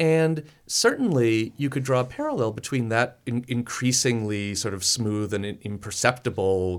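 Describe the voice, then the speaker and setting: Recorded very cleanly against a silent background, a man with an American accent and a normal speaking voice talks at medium pitch and a moderate pace with ordinary pitch variation and hardly any pauses. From Chicago. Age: 30s. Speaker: architect and professor. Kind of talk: radio interview. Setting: radio studio.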